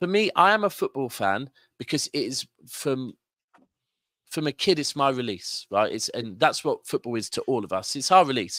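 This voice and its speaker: In a southern English accent, a man speaks in an animated tone with a fairly high pitch and very wide pitch swings, the sound dry and close with no echo in a very clean recording with a silent background. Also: moderate pace. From Manchester, northern England. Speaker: football fan pundit. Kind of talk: casual chat.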